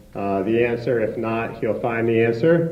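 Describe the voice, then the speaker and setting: Audible room echo surrounds speech that proceeds at a moderate pace. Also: man. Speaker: event host from hospital foundation. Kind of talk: event introduction speech. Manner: halting, many fillers.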